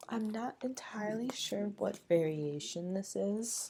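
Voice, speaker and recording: A soft-spoken woman whispers at a very slow pace. Noticeable background noise runs behind her. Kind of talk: ASMR whispered plant show-and-tell. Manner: whispered, soft-spoken.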